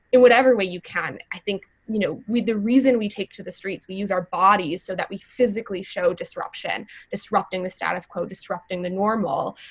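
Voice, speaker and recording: At a fairly quick pace, a woman with an American accent speaks at a medium pitch with ordinary pitch variation and big swings in loudness. It is an unremarkable speaking voice. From US Midwest, Wisconsin. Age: 20s. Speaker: youth climate activist. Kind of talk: panel conversation.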